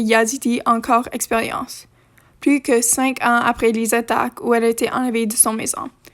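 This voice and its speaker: High-pitched woman's voice at a moderate pace, monotone and flat. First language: not French (French is third language) (speaking French). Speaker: history video creator. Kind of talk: reading aloud. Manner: halting.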